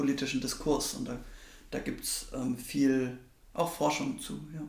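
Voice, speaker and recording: A man talks fairly slowly, and audible room echo surrounds his words. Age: 20s. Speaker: parliamentary staffer. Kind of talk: interview. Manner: hesitant, many fillers.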